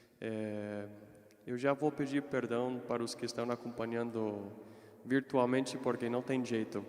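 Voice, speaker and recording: A man with an American accent speaks at a fairly slow pace, keeping his intonation fairly even. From United States. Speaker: consecrated layman, seminarian. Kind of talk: religious reflection talk. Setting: parish hall with live audience, livestreamed.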